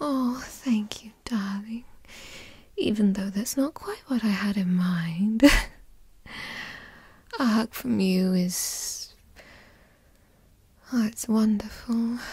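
A woman uses a put-on character voice at a medium pitch, with a slightly mellow tone and a husky, rough edge. She speaks at a very slow pace with long, frequent pauses and ordinary pitch variation.

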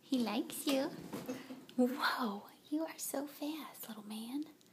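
Over noticeable background noise, the voice moves at a very slow pace with a soothing tone. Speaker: dog owner filming. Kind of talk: talking to a pet. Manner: baby-talk, soothing, reassuring. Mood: gentle, warm, then surprised. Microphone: phone near.

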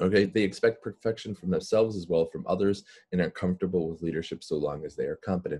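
The pace is fairly quick. A man talks with ordinary pitch variation. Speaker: webinar presenter. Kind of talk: lecture. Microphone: webcam.

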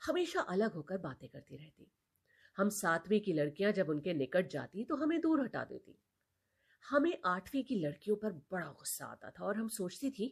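Somewhat breathy, a woman speaks at a medium pitch with very wide pitch swings. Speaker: storyteller. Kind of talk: reading aloud.

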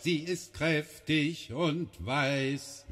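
A man speaks with a fairly high pitch and fairly even intonation. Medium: read story. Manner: humble, respectful, rhyming.

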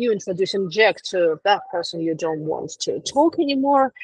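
In a Russian accent, a woman speaks at a fairly slow pace with very wide pitch swings, the sound dry with no echo and the background quiet. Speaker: etiquette specialist; etiquette trainer. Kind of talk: lecture. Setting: video call. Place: home room. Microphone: video call.

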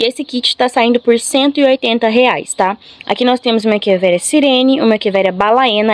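In a dry recording with no echo, a woman speaks at a fairly high pitch with ordinary pitch variation. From Brazil. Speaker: plant seller and vlogger. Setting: home video recording, showing plants to camera. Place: garden. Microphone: phone near.

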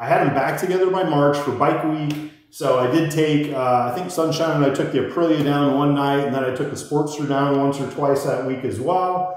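Strong room echo surrounds a voice with an American accent talking at a moderate pace with hardly any pauses. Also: man. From Iowa. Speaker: motorcycle vlogger. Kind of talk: casual monologue storytelling. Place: garage.

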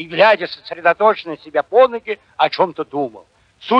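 The reading voice sounds unforced. Intonation rises and falls in a lively way.

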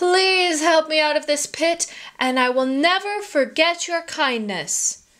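Using a put-on character voice at an extremely high pitch, a woman speaks at a fairly slow pace. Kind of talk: children's story reading. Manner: greedy, smug, menacing.

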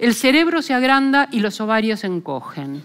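Her pitch swings very widely as a woman talks at a moderate pace. The background is quiet. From Argentina. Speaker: philosopher; lecturer. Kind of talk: lecture. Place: hall. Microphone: headset.

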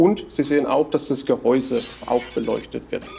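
A man at a moderate pace over light background noise. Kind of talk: product explanation. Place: office. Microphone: lapel.

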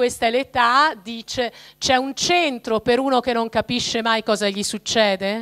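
An ordinary speaking voice from a woman, fairly high in pitch, with fairly even intonation, a fairly slow pace and a quiet background. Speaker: speaker. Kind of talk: talk to a parish audience. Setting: parish hall with live audience. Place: hall. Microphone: handheld.

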